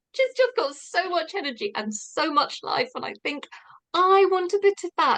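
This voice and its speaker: Her voice is extremely high and bright and sharp, swinging very widely in pitch at a moderate pace. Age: 60s. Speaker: participant. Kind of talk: testimony.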